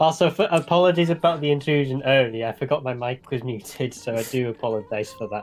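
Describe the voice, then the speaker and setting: Over noticeable background noise, a man with a medium pitch talks at a very fast pace, with hardly any pauses and ordinary pitch variation. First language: not English. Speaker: marathon commentator. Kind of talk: casual chat.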